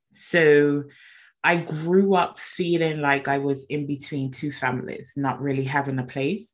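The background is quiet. A woman talks in a very deep, low pitch. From Bermuda. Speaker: mindset coach. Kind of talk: interview storytelling.

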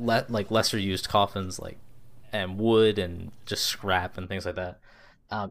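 Plain reading aloud moves along with fairly even intonation.

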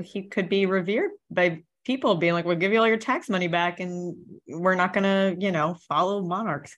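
A woman's medium-pitched voice at a moderate pace, with ordinary pitch variation, hardly any pauses and a quiet background. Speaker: podcast co-host. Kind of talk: casual chat. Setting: studio. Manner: loud.

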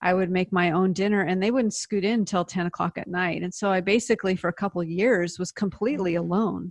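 With an American accent, a woman speaks at a fairly quick pace with hardly any pauses, medium pitch and fairly even intonation, in a dry, close sound with no echo over a quiet background. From US Pacific Northwest, Seattle. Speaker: author and speaker. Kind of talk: interview testimony.

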